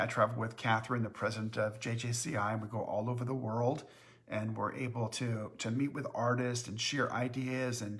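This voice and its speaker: This man talks at a moderate pace and a medium pitch, with monotone, flat intonation. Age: 60s. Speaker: company owner hosting live Q&A. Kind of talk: live-stream Q&A chat. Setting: Facebook live stream. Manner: hesitant, many filler words.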